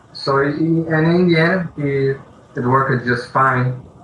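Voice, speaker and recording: Against noticeable background noise, a man with a non-native accent talks at a very slow pace with fairly even intonation. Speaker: indie game developer. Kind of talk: interview. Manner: halting.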